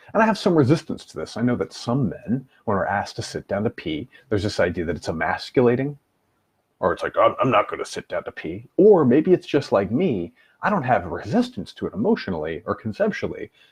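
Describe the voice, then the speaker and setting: The speech moves at a fairly quick pace in a dry, close sound with no echo over a quiet background. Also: man. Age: 30s. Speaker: life coach. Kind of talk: live stream talk.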